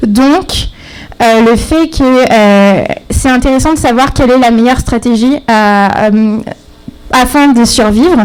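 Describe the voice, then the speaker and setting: A quiet woman speaks at a high pitch with ordinary pitch variation and very even loudness. Her pace is very slow with long, frequent pauses, over noticeable background noise. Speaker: graduate student presenting thesis. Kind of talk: timed thesis presentation. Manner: halting, many fillers; too quiet.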